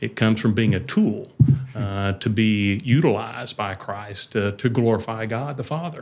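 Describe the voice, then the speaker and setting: Ordinary pitch variation marks a man's fairly low voice at a moderate pace, a plain, everyday voice. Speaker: church overseer. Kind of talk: casual conversation about faith, interview.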